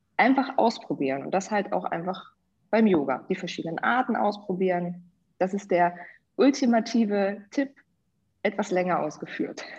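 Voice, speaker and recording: The voice is somewhat breathy with lively intonation. It moves at a moderate pace, broken by long, frequent pauses. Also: woman, medium pitch for a woman. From Hannover, northern Germany. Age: 30s. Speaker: business coach and yoga teacher. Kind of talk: podcast interview.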